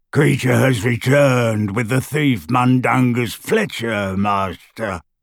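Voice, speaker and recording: Putting on a croaky character voice, a man speaks at medium pitch and a fairly slow pace. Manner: bowing, subservient.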